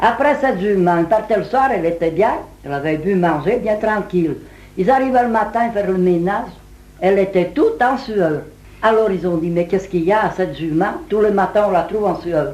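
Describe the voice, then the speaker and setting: A woman with a medium pitch and ordinary pitch variation speaks at a fairly quick pace while noticeable background noise carries on. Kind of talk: folk tale telling.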